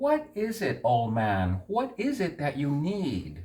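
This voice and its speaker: This is a put-on character voice from a man, pitched fairly high. He speaks at a fairly slow pace. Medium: read story.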